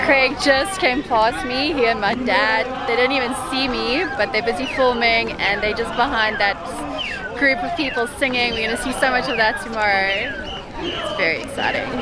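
Ordinary pitch variation at a moderate pace, dry with no echo, with music in the background. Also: woman. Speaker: vlogger. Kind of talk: casual vlog chat. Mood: cheerful, excited. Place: street. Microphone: phone near.

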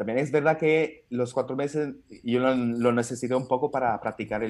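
At a moderate pace, a man with an Italian accent speaks in a medium pitch and a fairly even intonation. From Italy. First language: Italian (speaking Spanish). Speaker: stand-up comedian. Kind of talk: casual chat. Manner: halting. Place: home room. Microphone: video call.

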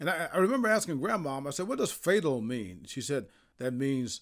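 On a very clean recording with a silent background, a man with an American accent speaks at a fairly high pitch. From Indiana. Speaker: sports journalist. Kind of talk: casual monologue.

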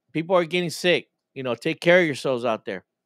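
The man's voice shows ordinary pitch variation, recorded as a dry sound with no echo against a quiet background. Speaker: pastor, podcast host. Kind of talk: casual chat. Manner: halting, repeats words. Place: home room. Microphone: video call.

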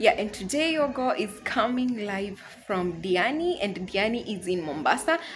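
Music plays in the background as the speaker talks at a moderate pace with very wide pitch swings. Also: woman. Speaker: vlogger. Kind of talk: casual vlog chat. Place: home room. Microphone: phone near.

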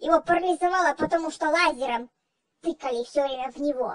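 Using a put-on character voice, a female-sounding speaker talks at a fairly quick pace and an extremely high pitch. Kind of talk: comedy sketch. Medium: role play. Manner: fussy, agitated.

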